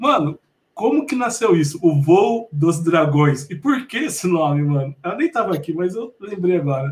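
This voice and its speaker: A high-pitched man at a moderate pace, with lively intonation. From Mogi das Cruzes, São Paulo state, Brazil. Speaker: podcast host. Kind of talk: casual interview. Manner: animated.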